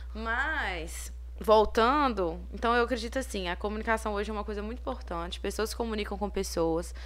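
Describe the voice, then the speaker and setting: Moderate pace, with audible room echo. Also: woman. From Minas Gerais, Brazil (Ponte Nova). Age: 20s. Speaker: entrepreneur. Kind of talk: casual interview.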